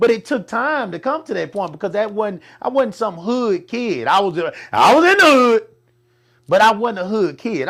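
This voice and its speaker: A man speaks loudly at a moderate pace, his pitch high and his intonation lively. The tone is animated, and the recording is very clean with a silent background. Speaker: talk show host. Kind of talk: casual chat.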